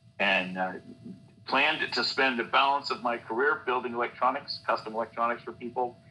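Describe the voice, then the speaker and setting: A man with an American accent talks at a fairly quick pace, with noticeable background noise. His pitch is medium and varies in an ordinary way. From US West Coast, San Francisco Bay Area. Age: 60s. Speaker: scientist, election integrity activist. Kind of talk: interview. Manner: halting, many fillers.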